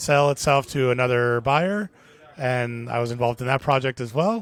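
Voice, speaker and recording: This man has a Miami accent. His pitch sits in the medium range. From US, Miami. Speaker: brewery brand ambassador. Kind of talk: casual interview.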